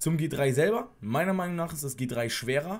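His voice comes across as somewhat breathy. The man talks at a moderate speed. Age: 20s. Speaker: former soldier, YouTuber. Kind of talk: casual vlog monologue; casual vlog chat. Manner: casual, with frequent fillers. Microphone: earbuds.

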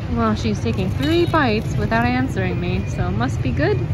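With music in the background, a woman speaks at a moderate pace in a dry sound with no echo. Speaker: travel vlogger. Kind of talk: casual vlog chat. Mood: playful, amused. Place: street. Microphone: phone near.

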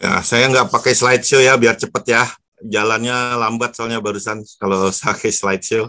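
Over a quiet background, a man speaks at a moderate pace. His tone is bright and sharp, his intonation fairly even. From Jakarta, Indonesia. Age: 60s. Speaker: professor. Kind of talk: webinar lecture. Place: home room. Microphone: earbuds.

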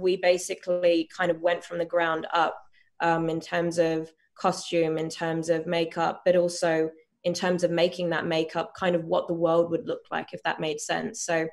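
The speech comes at a moderate pace in a flat, monotone intonation over a quiet background. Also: woman, fairly low pitch for a woman. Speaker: actress promoting a series. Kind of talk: interview answer. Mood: calm, thoughtful. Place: home room. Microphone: video call.

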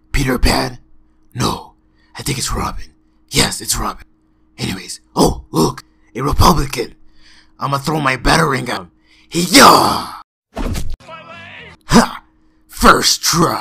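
A raspy, put-on character voice at a moderate pace, with long, frequent pauses and big swings in loudness. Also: man. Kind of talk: comic impression. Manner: smug, boastful.

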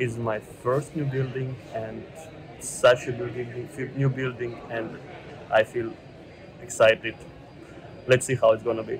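A man's monotone, flat delivery with long, frequent pauses amid noticeable background noise. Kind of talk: casual vlog chat. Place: station. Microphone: earbuds.

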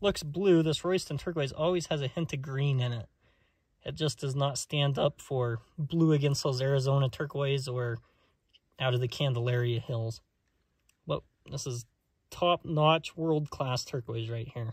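A somewhat breathy male voice with ordinary pitch variation, dry sound with no echo, and a quiet background. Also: moderate pace. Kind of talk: casual vlog commentary. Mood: enthusiastic. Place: open country. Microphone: phone near.

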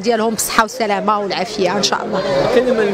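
A woman's voice with fairly even intonation, a dry sound with no echo, and noticeable background noise. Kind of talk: interview statement. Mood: warm, thankful. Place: street. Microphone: handheld.

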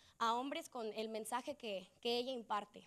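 The background stays quiet as a woman speaks at a moderate pace. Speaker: student association president. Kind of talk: short welcome speech. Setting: auditorium stage with audience. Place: hall. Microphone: handheld.

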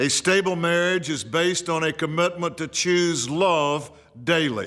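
This man has a fairly high pitch and talks at a fairly slow pace. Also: quiet background. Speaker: pastor. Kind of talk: short devotional radio message. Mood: earnest, encouraging. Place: studio.

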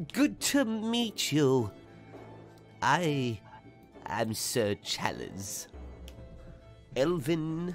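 Clear music plays behind a man doing a put-on character voice at a fairly high pitch. He speaks at a very slow pace with long, frequent pauses. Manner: cheerful, genteel, slightly absent-minded.

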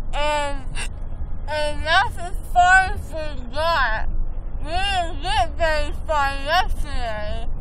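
A woman's raised, projected voice at a very slow pace, with a dry sound with no echo and light background noise. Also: ordinary pitch variation. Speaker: vlogger after dental work. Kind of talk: casual vlog chat. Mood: groggy, drowsy. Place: car. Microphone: phone near.

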